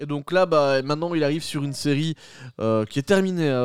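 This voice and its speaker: A man with a plain, everyday voice, fairly high in pitch, talks at a moderate pace. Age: 30s. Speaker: podcast host. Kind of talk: casual chat. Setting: at home, doors open.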